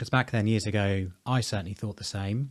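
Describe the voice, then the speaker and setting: A man talks in a normal speaking voice at a fairly low pitch. He keeps a fairly quick pace with ordinary pitch variation. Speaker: presenter. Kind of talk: interview conversation.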